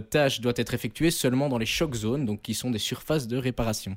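A man's unremarkable speaking voice, at a medium pitch with ordinary pitch variation, comes through in a very clean recording with a silent background. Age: 20s. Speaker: student radio co-host, sports columnist. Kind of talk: scripted narration; casual chat.

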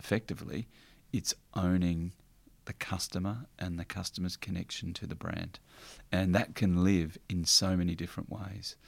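In an Australian accent, a man speaks at a moderate pace with a very deep, low voice. His intonation stays fairly even. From country Victoria, Australia (Warrnambool). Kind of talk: interview. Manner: halting.

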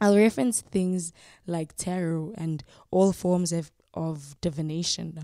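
A woman's fairly low-pitched voice with a dark, mellow tone at a fairly slow pace. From South Africa, Soweto. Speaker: podcast host. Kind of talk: reflective monologue with guided breathing. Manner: calm, unhurried.

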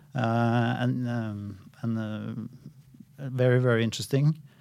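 In a Norwegian accent, a man speaks at medium pitch with fairly even intonation. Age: 50s. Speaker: central bank economist. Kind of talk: interview. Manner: halting.

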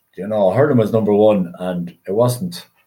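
Speaking in an Irish Midlands accent, a man with fairly low pitch and a dark, mellow tone keeps a moderate pace. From Ireland, County Westmeath. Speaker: retired inter-county hurler. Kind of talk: casual interview. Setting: remote podcast recording.

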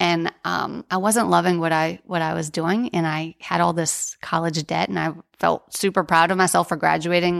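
This woman has an unremarkable speaking voice, fairly low in pitch, with an American accent and a moderate pace. The recording is very clean with a silent background, and the sound is dry and close with no echo. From New Orleans, US. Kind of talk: casual interview.

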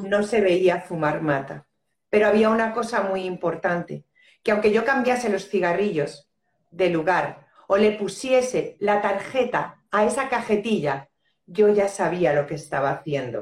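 At a fairly slow pace, a woman with an unremarkable speaking voice talks at a medium pitch with lively intonation. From Spain. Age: 50s. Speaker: end-of-life companion and death educator. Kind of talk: casual chat. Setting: Instagram live video call.

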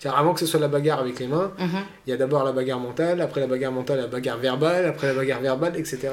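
Rushing at a very fast pace, a man speaks at a fairly high pitch with fairly even intonation. The recording carries audible room echo and noticeable background noise. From born abroad, moved to France as a child. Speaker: personal development coach. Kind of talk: interview. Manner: halting.

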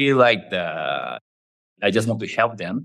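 The speaker has a Japanese accent. Pitch varies in an ordinary way. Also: man. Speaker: startup co-founder. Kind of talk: interview. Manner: halting.

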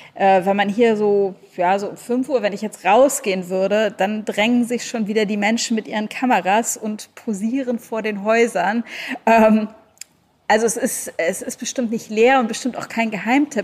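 Here is a woman with an ordinary speaking voice. Her pitch is fairly high, her intonation fairly even, and her pace moderate. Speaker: travel blogger and author. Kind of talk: casual interview chat. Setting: video call.

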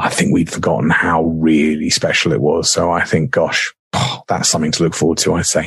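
A man talks at a fairly quick pace with hardly any pauses. His loudness stays very even, and he has a southern English accent. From southern England, Surrey. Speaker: radio presenter. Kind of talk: casual interview chat.

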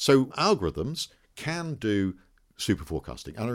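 A man sounds enthusiastic, talking at a fairly slow pace. The recording is very clean, with a silent background. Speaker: statistician and professor. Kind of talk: interview conversation. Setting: office.

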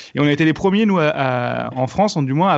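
Very fast delivery from a man, fairly high in pitch, with ordinary pitch variation. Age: 30s. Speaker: comedian and online video creator. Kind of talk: casual chat.

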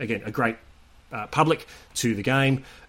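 Here a man speaks with an Australian accent. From Sydney, Australia. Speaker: rugby league correspondent. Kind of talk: casual chat.

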